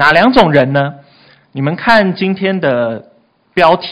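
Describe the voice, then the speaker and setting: Speaking fairly slowly, a man keeps his intonation lively. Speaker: youth pastor. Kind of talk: sermon. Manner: animated.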